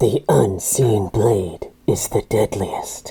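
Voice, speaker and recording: The speaker uses a raspy, low-pitched, put-on character voice at a very slow pace. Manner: ominous.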